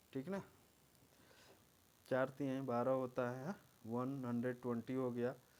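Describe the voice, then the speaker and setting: A man speaks quietly. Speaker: exam coaching teacher. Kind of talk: tutorial. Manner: quiet, moderate volume.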